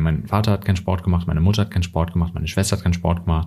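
On a very clean recording with a silent background, a man speaks in a very deep, low, somewhat breathy voice with a dark, mellow tone and fairly even intonation. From Germany. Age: 30s. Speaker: journalist and author. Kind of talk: interview.

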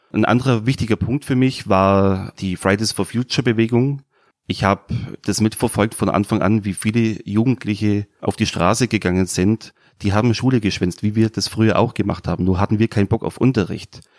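A man's unremarkable speaking voice with a fairly low pitch and fairly even intonation at a fairly quick pace, in a very clean recording with a silent background and a dry, close sound with no echo. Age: 30s. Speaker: new party member. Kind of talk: interview.

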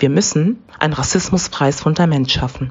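A woman is talking. Her pitch moves in an ordinary way. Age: young. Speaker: activist. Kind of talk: prepared statement. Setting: recorded message.

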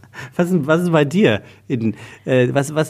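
Recorded very cleanly against a silent background, a man talks at a fairly slow pace with lively intonation and vocal fry. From Hesse, Taunus near Frankfurt. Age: 40s. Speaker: podcast host and voice-over speaker. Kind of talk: casual chat.

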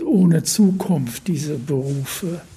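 Over noticeable background noise and audible room echo, a high-pitched man speaks very slowly with ordinary pitch variation. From northeastern Germany, Usedom island (born Berlin). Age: 80s+. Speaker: painter. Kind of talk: interview. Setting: his home near the beach. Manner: halting.

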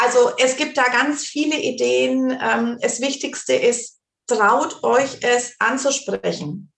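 A woman at a very slow pace, with very even loudness. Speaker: grief counselor. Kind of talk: interview.

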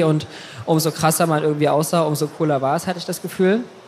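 Fairly high for a man, his voice keeps a fairly even intonation against noticeable background noise. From Saxony, Germany. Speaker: fashion blogger. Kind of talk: casual interview.

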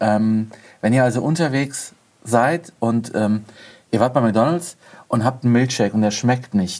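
A man at medium pitch with ordinary pitch variation, very even loudness, long, frequent pauses and a fairly slow pace. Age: 40s. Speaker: car blogger. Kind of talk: casual chat.

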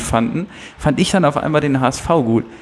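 Through noticeable background noise, a man talks at a fairly high pitch with ordinary pitch variation. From Hamburg, Germany. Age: 20s. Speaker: television writer. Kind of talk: casual chat.

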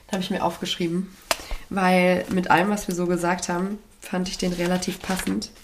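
Over noticeable background noise, a woman talks at a moderate pace and medium pitch in a monotone, flat way. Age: 20s. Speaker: podcast co-host, radio presenter. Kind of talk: casual chat.

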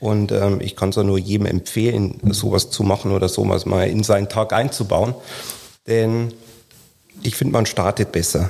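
Dark, mellow tone and monotone, flat intonation come at a moderate pace with long, frequent pauses on a very clean recording with a silent background. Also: man, fairly low pitch for a man. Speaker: insurance sales manager. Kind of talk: casual interview.

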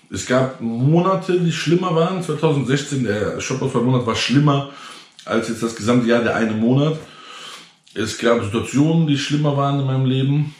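Noticeable background noise sits under a voice with ordinary pitch variation. The pace is moderate, and room echo is audible. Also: man, fairly high pitch for a man. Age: 30s. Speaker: entrepreneur and online content creator. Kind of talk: casual direct-to-camera vlog monologue. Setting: self-recorded GoPro video. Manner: tired, low-energy delivery; many filler sounds (ähm, äh).

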